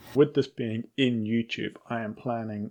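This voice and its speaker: Medium in pitch, this man's voice has a dark, mellow tone. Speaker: podcast host, new dungeon master. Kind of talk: casual solo vlog monologue. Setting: home at night, kids asleep. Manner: deliberately quiet; hesitant, many fillers.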